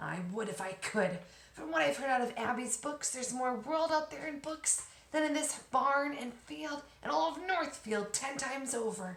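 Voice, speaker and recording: A woman's put-on character voice at a high pitch and a moderate pace. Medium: read story. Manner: earnest, longing.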